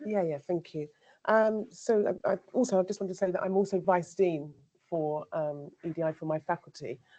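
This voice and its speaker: A woman with a dark, mellow tone and a fairly low pitch talks at a moderate pace, with ordinary pitch variation. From England, Devon and Somerset. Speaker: academic, vice dean. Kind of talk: panel discussion.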